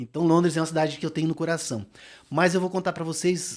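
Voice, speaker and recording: A fairly high-pitched man with an animated tone on a very clean recording with a silent background. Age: 60s. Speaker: marathon runner. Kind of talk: casual chat. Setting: studio.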